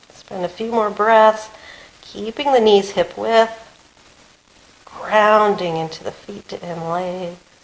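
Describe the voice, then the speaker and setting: A woman talks very slowly in a calm tone, with long, frequent pauses and ordinary pitch variation. Her loudness swings widely, and there is noticeable background noise. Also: medium pitch for a woman. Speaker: yoga teacher. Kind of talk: guided yoga class.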